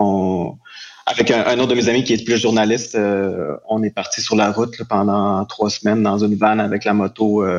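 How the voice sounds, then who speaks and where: Over noticeable background noise, a man speaks at a moderate pace in a fairly low pitch, his intonation monotone and flat and his loudness very even. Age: 30s. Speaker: photographer and colorist. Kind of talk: casual interview.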